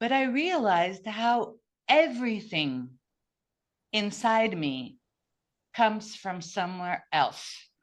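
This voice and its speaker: A woman with a Portuguese accent speaks very slowly with long, frequent pauses. Her fairly high voice moves in very wide pitch swings. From Brazil. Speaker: podcast guest. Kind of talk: casual interview conversation. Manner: halting, with many restarts.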